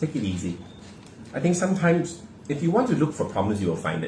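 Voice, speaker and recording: Someone with a Singaporean accent speaks at a fairly quick pace. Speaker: podcast co-host. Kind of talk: casual chat. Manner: animated.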